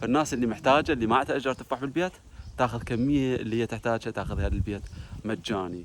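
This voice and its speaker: Moving at a very fast pace, a man talks at medium pitch with ordinary pitch variation. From Iraq, Basra. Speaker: vlogger. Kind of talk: casual vlog.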